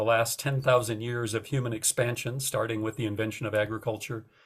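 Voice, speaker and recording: In a very clean recording with a silent background, the somewhat breathy voice moves at a moderate pace with fairly even intonation. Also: man. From North Dakota. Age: 60s. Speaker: author. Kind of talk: interview talk about his book.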